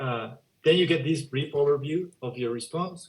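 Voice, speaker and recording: Somewhat breathy, a man talks at a moderate pace with ordinary pitch variation. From Spanish-speaking country. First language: Spanish. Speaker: education software demonstrator. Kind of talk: software demo.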